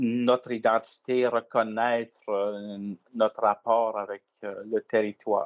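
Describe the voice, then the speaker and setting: Very slowly, a man speaks at a medium pitch with flat, monotone intonation. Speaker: community chief. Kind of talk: interview.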